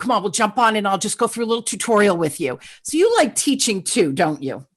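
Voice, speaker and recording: Against a quiet background, a woman talks at a fairly quick pace in an animated tone, her fairly high pitch making very wide swings. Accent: New Jersey. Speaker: podcast host. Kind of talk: interview podcast. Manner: fast.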